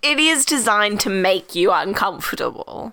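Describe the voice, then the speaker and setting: A woman with an Australian accent speaks at a medium pitch in a bright, sharp tone with lively intonation. The recording is very clean, with a silent background. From Australia (Victoria). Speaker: high school teacher.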